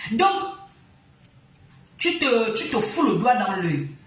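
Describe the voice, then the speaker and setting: A woman with a fairly high voice and very wide pitch swings speaks in a room with audible echo and noticeable background noise. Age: 40s. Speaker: online commentator. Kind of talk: livestream rant. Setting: live stream at home. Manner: combative.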